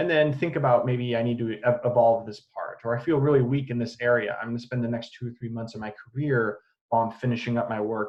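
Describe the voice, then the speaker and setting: His pitch is medium. The man talks at a very fast pace. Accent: American. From US Midwest, Illinois. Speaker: assistant professor. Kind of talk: lecture. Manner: hesitant, many fillers.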